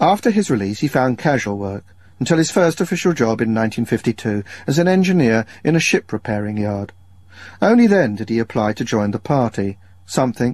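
A man talks at a fairly quick pace with lively intonation. The sound is dry with no echo, and the background is quiet. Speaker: radio documentary presenter; radio presenter. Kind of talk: radio documentary narration.

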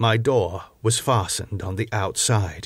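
A man speaks at medium pitch in a dramatic tone, somewhat breathy, with fairly even intonation. The recording is very clean with a silent background. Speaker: audiobook narrator. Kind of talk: literary audiobook reading, scripted narration of a first-person Victorian gothic diary. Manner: measured, dramatic storytelling pace, formal.

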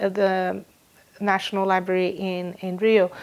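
A woman speaks in a Portuguese accent at medium pitch. Her pace is very slow. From Brazil, São Paulo. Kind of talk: interview. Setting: recorded in London. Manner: hesitant, many fillers. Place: home room. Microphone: lapel.

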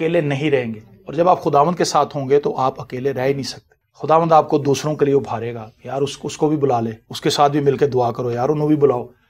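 A plain, everyday voice moves at a moderate pace with fairly even intonation and hardly any pauses. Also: man, fairly high pitch for a man. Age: 40s. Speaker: pastor. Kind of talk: sermon.

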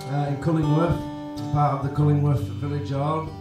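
Moderate pace, audible room echo and clear music in the background. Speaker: show host. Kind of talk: casual intro chat. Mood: cheerful and relaxed. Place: cafe.

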